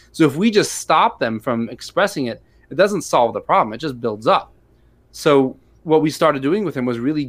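In a very clean recording with a silent background, a man with an unremarkable speaking voice and an American accent talks at a fairly quick pace, with a fairly high pitch and lively intonation. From US Midwest, St. Louis, Missouri. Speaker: rabbi and special education teacher. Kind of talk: interview conversation.

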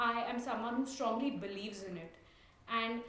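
A high-pitched woman with an Indian accent at a moderate pace. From India, Mumbai. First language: Tulu. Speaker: coffee grower. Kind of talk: interview.

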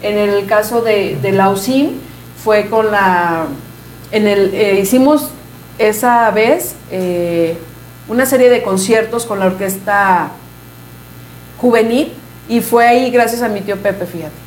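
A woman speaks at a very slow pace, with long, frequent pauses and ordinary pitch variation. Noticeable background noise and audible room echo surround her. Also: medium pitch for a woman. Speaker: mariachi musician. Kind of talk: interview.

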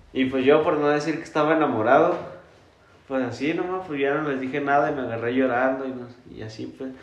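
Noticeable background noise and audible room echo surround a man who speaks at a fairly quick pace with fairly even intonation. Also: fairly high pitch for a man. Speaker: podcast co-host. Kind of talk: casual chat.

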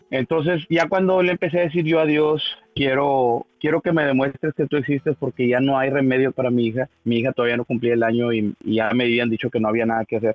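A man talks very fast, with ordinary pitch variation. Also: medium pitch for a man. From Mexico, northern Tamaulipas. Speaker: church member giving testimony. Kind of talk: testimony. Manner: halting, many repetitions.

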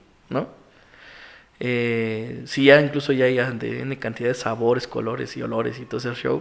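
At a moderate pace, a man speaks with a Mexican accent in a medium pitch. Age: 30s. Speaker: single father sharing his story. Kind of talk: interview testimony. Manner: halting, many repetitions.

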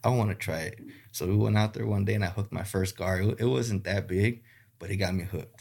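An American-accented man speaks very fast, with a fairly low pitch. His voice is somewhat breathy, and the recording is very clean with a silent background. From South Texas (Rio Grande Valley). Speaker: gar fishing guide. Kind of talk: casual interview. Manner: halting, many fillers.

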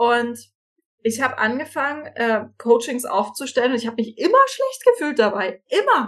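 This woman has a high-pitched voice and talks at a moderate pace. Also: ordinary pitch variation. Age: 30s. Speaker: financial coach. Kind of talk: casual interview chat.

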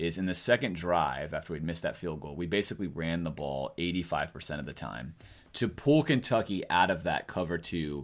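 Vocal fry colors a man's very deep, low voice as he speaks at a moderate pace. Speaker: podcast host. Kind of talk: casual sports chat.

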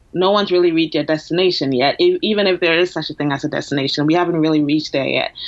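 A woman talks at a very fast pace. Her pitch is fairly low. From Ghana. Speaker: counselor. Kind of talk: interview. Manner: halting.

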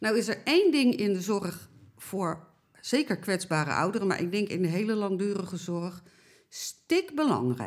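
Her intonation is lively, and she speaks at a fairly slow pace with medium pitch. This woman has a normal speaking voice, recorded very cleanly against a silent background. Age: 60s. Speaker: elderly care campaigner. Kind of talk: interview.

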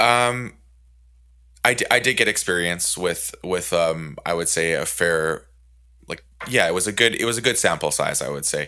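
A man with a very deep, low voice and a bright, sharp tone talks at a moderate pace, leaving long, frequent pauses. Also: lively intonation, very clean recording, silent background. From Canada. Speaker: podcast host. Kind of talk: casual chat.

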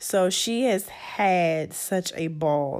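A woman's medium-pitched, ordinary speaking voice with ordinary pitch variation. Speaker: host's mother. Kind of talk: casual chat.

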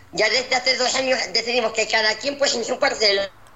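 Noticeable background noise sits behind the recording. A woman speaks at a moderate pace with ordinary pitch variation. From Spain. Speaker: academy director. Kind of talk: interview. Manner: halting.

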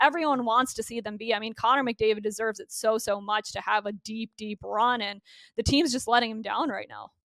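A woman with an Ontario accent talks at a fairly high pitch and a fairly quick pace. Her loudness swings widely, in a dry, close sound with no echo. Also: fairly even intonation. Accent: Canadian (Ontario). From Canada, Burlington near Toronto, Ontario. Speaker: hockey broadcaster. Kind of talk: casual interview.

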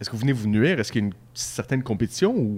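This man has a Quebec accent. His pitch is medium. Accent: Québécois French. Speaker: beer podcast host. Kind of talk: casual chat. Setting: microbrewery pub.

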